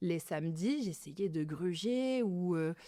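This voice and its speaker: Lively intonation and a dark, mellow tone in a dry, close sound with no echo, on a very clean recording with a silent background. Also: woman. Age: 30s. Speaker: beauty clinic owner. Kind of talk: interview. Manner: casual, many fillers.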